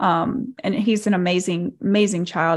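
A woman with a Southern US accent speaks at medium pitch and a moderate pace. Her intonation is fairly even, and the recording is very clean with a silent background. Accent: Southern American. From Arkansas, US South. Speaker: cult survivor and social media creator. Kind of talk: interview.

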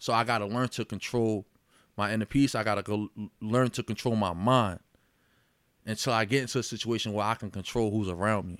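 A man with an American accent and a normal speaking voice talks at medium pitch and a fairly quick pace with fairly even intonation, on a very clean recording with a silent background and a dry, close sound with no echo. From Yonkers, New York. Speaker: boxer and mental health advocate. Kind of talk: casual chat.

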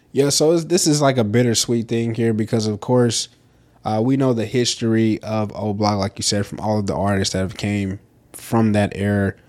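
A man with a Southern US accent and a fairly low-pitched voice. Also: ordinary pitch variation, moderate pace. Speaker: podcast co-host. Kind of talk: casual chat.

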